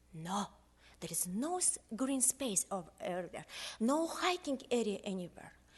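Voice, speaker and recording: Her fairly high voice is somewhat breathy and swings very widely in pitch. The woman talks at a fairly slow pace. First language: not English. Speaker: local resident. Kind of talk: public testimony. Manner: simple, halting English.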